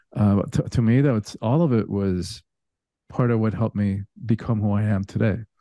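A dark, mellow voice with ordinary pitch variation and very even loudness is heard with a dry, close sound, no echo, and a quiet background. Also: man, fairly low pitch for a man, moderate pace. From Cuba. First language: Spanish. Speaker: spiritual teacher and coach. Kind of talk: casual interview chat.

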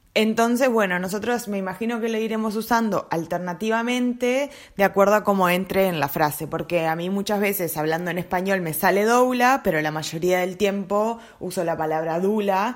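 A woman with a Uruguayan accent speaks at medium pitch and a moderate pace, with ordinary pitch variation, on a very clean recording with a silent background. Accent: Rioplatense Spanish (Uruguayan). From Uruguay, Montevideo. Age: 30s. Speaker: doula, podcast co-host. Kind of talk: casual chat.

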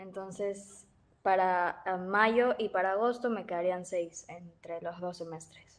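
Against a quiet background, a woman talks very slowly at a medium pitch with fairly even intonation. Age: 20s. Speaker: university student with type 1 diabetes. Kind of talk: casual chat.

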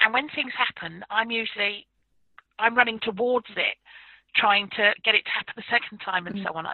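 With a southern English accent, a woman speaks fairly quickly at a fairly high pitch, varying it in an ordinary way. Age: 50s. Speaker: paranormal researcher and author. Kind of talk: interview.

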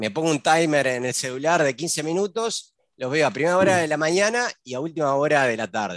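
A man with an unremarkable speaking voice, fairly high in pitch, with lively intonation and a fairly quick pace against a quiet background. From Uruguay. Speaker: podcast host. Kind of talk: casual interview.

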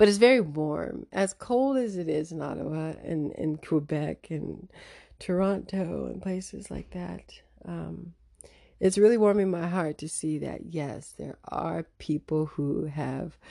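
Delivered at a fairly slow pace, the speech has big swings in loudness on a very clean recording with a silent background. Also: woman. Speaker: radio host. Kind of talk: opinionated radio talk show, casual commentary. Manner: casual, chatty, humorous.

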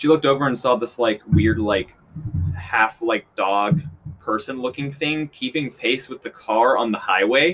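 A man's medium-pitched voice with an American accent, ordinary pitch variation and a moderate pace, amid noticeable background noise. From Kansas City, Missouri. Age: 20s. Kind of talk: casual chat.

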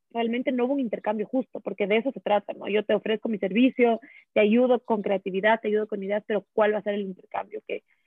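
A woman is speaking. Her pace is very fast. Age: 20s. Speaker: content creator. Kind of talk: casual chat.

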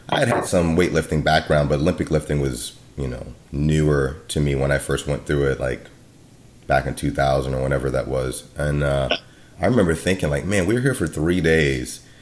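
Against noticeable background noise, a man talks with a very deep, low pitch and ordinary pitch variation. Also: moderate pace. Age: 40s. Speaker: martial arts podcast host and Muay Thai coach. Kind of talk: scripted intro and ad read; casual interview chat.

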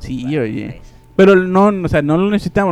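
Fairly quick male speech with ordinary pitch variation. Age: 20s. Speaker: podcast host. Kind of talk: casual chat. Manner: animated.

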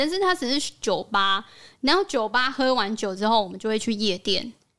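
With a bright, sharp tone and a fairly high pitch, a woman talks at a moderate pace in a very clean recording with a silent background. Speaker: podcast host. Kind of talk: casual chat.

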